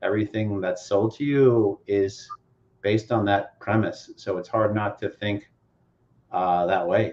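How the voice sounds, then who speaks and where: Fairly low in pitch, a man uses an ordinary speaking voice at a fairly slow pace with fairly even intonation. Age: 50s. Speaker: finance executive and mental health advocate. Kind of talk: podcast interview answer.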